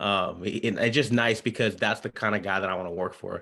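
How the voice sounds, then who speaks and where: A man's fairly low voice, bright and sharp in tone, at a very fast pace on a very clean recording with a silent background. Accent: American. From Southern California (Orange County). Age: 20s. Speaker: basketball coach. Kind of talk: interview. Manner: halting, frequent fillers.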